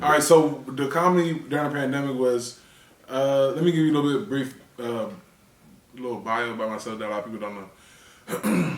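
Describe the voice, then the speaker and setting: With an American accent, a man of medium pitch talks at a fairly quick pace, his loudness swinging widely, amid noticeable background noise and audible room echo. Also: ordinary pitch variation. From Washington DC area. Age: 30s. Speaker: comedian. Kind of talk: interview. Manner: halting.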